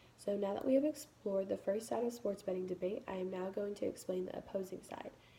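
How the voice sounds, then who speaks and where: This woman talks at a very fast pace in a somewhat breathy voice with a dark, mellow tone. Her pitch is medium and varies in an ordinary way. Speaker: college student. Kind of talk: class speech.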